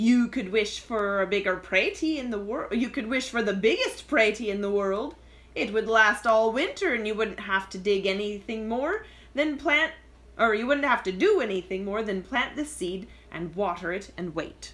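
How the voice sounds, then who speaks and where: The voice is a put-on character voice. It moves at a moderate pace. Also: woman, fairly high pitch for a woman. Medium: read story. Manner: wheedling.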